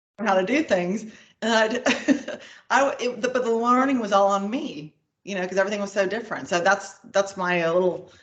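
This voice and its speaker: Speaking at a fairly quick pace with ordinary pitch variation, a woman with an American accent has an ordinary speaking voice. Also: medium pitch for a woman. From United States. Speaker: payments executive. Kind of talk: interview.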